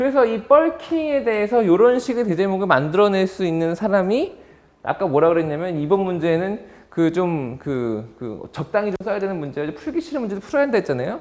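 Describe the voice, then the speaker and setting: Speaking at a fairly quick pace with hardly any pauses, the voice swings very widely in pitch. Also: man, high pitch for a man. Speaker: exam prep instructor. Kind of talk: lecture. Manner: fast-talking by habit.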